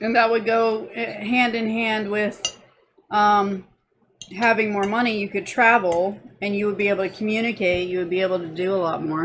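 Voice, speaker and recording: A woman with an American accent and fairly even intonation. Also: medium pitch for a woman. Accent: Southern drawl, comes and goes. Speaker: vlogger. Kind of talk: casual chat.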